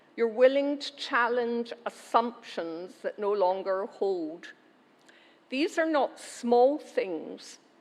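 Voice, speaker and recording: A woman with a Glaswegian accent speaks very slowly in a high voice, her intonation lively. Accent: Glaswegian Scottish. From Scotland, Glasgow. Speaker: university chancellor. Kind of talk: ceremonial speech. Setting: graduation ceremony hall with audience. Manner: formal.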